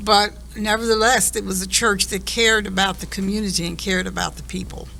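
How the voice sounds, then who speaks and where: In an American accent, a woman speaks at a very fast pace amid noticeable background noise. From Delaware County, Pennsylvania, US. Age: 70s. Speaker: family elder interviewee. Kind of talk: family conversation interview.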